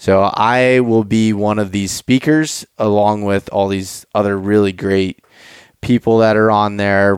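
An unremarkable speaking voice with an American accent and fairly even intonation. The recording is very clean and dry, close with no echo, over a silent background. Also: man, fairly low pitch for a man, fairly slow pace. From Pennsylvania. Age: 20s. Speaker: hunting podcast host. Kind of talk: podcast intro with sponsor reads; casual interview chat.

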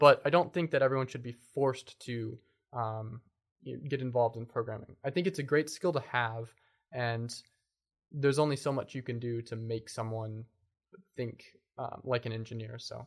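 A man talks at a moderate pace and a medium pitch with ordinary pitch variation. His loudness swings widely, and he leaves long, frequent pauses. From Kentucky, US (Lexington and Bowling Green). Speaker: software developer. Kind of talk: interview.

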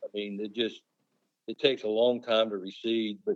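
A normal speaking voice with an American accent, at a moderate pace. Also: man. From Pennsylvania, US Northeast. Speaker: turkey calling champion. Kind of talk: casual interview.

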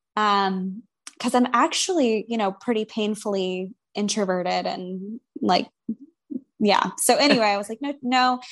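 Talking at a fairly slow pace, a woman with an American accent has an unremarkable speaking voice, a fairly high pitch and ordinary pitch variation. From US South, Atlanta, Georgia. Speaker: licensed professional counselor. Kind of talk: casual interview chat.

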